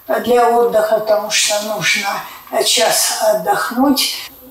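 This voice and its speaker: A woman's fairly high voice at a very slow pace, with ordinary pitch variation and audible room echo. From Siberia, Russia. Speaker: clinic patient. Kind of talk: testimonial interview. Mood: earnest, grateful. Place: office.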